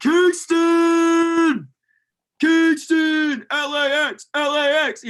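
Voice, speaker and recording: Using a put-on character voice, a man speaks at a very slow pace with an extremely high pitch. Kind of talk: casual, street-like. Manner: yelling.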